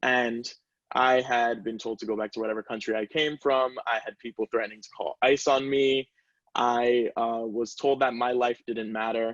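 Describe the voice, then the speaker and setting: With a Spanish accent, a man speaks at a moderate pace and a medium pitch in a monotone, flat intonation. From US, Caribbean family. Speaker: student panelist. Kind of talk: panel discussion.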